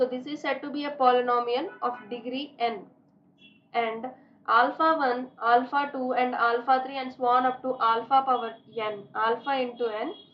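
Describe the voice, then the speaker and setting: A woman's high-pitched voice at a moderate pace, fairly even intonation and audible room echo. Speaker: maths teacher. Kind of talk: lecture. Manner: monotone.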